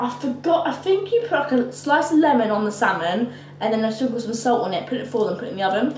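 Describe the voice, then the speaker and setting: With light background noise and audible room echo, a woman speaks at a very fast pace. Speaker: vlogger. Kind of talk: casual vlog chat. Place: kitchen. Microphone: camera far.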